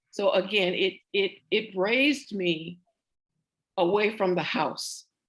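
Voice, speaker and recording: A woman in a Southern US accent speaks with fairly even intonation. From US South, central Florida (Oviedo). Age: 70s. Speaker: interviewee, professional singer. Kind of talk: oral history interview. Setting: video call.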